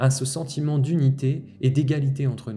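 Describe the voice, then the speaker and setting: Somewhat breathy and dark, mellow in tone, a man talks at a fairly high pitch. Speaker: spiritual healer. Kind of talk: spiritual monologue podcast. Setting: outdoors-facing, looking at nature. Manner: fast; continuous flowing monologue.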